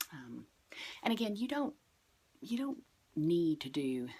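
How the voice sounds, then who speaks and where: A quiet woman's voice with lively intonation at a moderate pace. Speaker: yoga and witchcraft vlogger. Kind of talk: casual tutorial.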